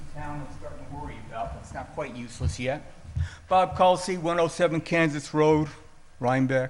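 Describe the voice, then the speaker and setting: A man's fairly high, fairly quick voice with ordinary pitch variation and big swings in loudness, plus audible room echo and noticeable background noise. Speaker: resident speaking at public comment. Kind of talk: public comment at town board meeting. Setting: town board meeting hall. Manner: softer since hearing aids.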